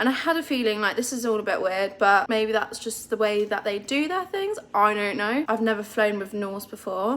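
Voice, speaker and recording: A woman with a British accent, fairly high in pitch, at a moderate pace with hardly any pauses and ordinary pitch variation, over noticeable background noise. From United Kingdom. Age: 20s. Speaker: travel vlogger. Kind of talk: casual talk to camera.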